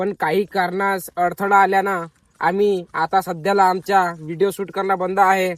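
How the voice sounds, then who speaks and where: A high-pitched male voice, flat and monotone, in a dry, close recording with no echo. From Maharashtra, India. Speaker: vlogger. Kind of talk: casual vlog narration.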